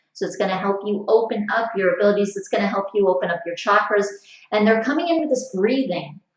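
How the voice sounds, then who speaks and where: A woman speaks at a very fast pace with ordinary pitch variation, and audible room echo surrounds her voice. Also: medium pitch for a woman. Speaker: psychic reader. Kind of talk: spiritual reading. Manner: halting with fillers.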